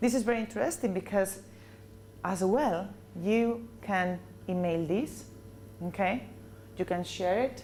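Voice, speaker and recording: Her dark, mellow voice shows vocal fry as this woman speaks at a fairly slow pace with lively intonation, very even loudness, and long, frequent pauses. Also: medium pitch for a woman. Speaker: corporate trainer. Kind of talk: training presentation. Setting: business meeting with audience.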